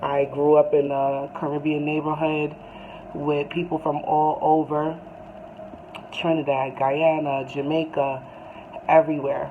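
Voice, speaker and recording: With a New York accent, a woman speaks at a very deep, low pitch in monotone, flat intonation. Long, frequent pauses break her speech amid noticeable background noise. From US, Brooklyn, New York. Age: 30s. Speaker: YouTuber, music fan. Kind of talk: casual monologue to camera. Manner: hesitant, many fillers.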